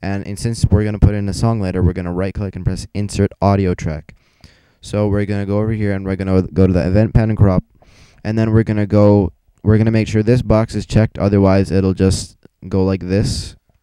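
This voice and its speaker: Dark and mellow in tone, a man with a fairly low pitch speaks with monotone, flat intonation. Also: fairly quick pace. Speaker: gaming video tutorial maker. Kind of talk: tutorial. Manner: fast; casual, with fillers.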